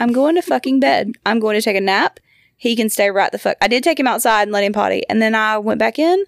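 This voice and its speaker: A woman with a fairly high pitch and an American accent speaks with lively intonation in a plain, everyday voice. The sound is dry and close with no echo, on a very clean recording with a silent background. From Georgia, US. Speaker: podcast host, mother. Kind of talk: casual chat.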